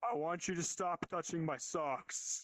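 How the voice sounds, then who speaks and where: A man performs a put-on character voice at a high pitch. His pace is moderate. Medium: virtual streamer. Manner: very slow, dull, flat.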